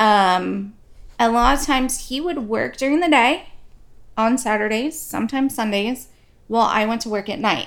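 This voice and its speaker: An ordinary speaking voice moves at a moderate pace with ordinary pitch variation, recorded very cleanly against a silent background. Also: woman, fairly high pitch for a woman. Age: 40s. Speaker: podcast co-host. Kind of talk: casual chat.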